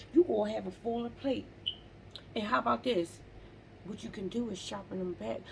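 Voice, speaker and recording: A woman is speaking. Her tone is animated. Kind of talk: faith-based motivational monologue. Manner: occasional stumbling over words.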